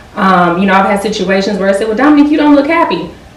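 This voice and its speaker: Against noticeable background noise and audible room echo, a woman speaks at a medium pitch. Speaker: pharmaceutical quality engineer. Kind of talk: interview. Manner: fast.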